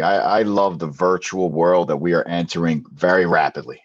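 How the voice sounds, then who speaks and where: Over a quiet background, a man with a Philadelphia accent talks at a fairly quick pace and a fairly low pitch. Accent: Philadelphia-area American. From southern New Jersey. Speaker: math teacher. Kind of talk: interview.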